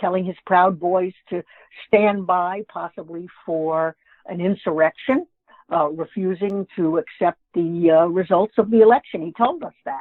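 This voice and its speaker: A woman's normal speaking voice with an American accent, medium in pitch, fairly slow, with ordinary pitch variation and big swings in loudness. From New York. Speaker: author and humorist. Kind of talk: interview.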